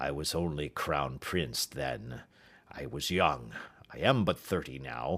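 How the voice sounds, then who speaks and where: In a put-on character voice, a man speaks at a fairly slow pace with a raspy, very deep, low pitch. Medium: read story. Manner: earnest, agitated.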